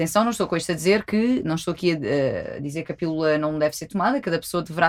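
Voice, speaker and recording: In a very clean recording with a silent background, a woman with a fairly low pitch talks very fast with ordinary pitch variation. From Algarve, Portugal. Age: 20s. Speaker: sexologist. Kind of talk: casual chat.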